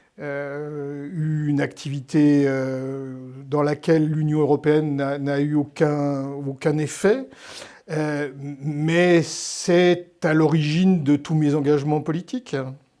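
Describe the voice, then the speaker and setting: Against noticeable background noise, a man speaks at a very slow pace. His fairly high pitch stays monotone and flat. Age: 60s. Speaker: historian and novelist. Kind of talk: interview. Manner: hesitant, many fillers and repetitions.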